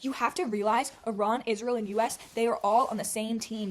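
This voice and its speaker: A woman's fairly high-pitched voice with fairly even intonation, amid noticeable background noise. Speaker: vlogger. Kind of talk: casual monologue to camera. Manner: rushed, frazzled; frequent fillers and swearing.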